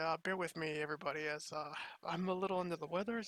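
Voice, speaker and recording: In a very clean recording with a silent background, a man speaks at a high pitch with a bright, sharp tone. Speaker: video game commentator. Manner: casual, hesitant with fillers.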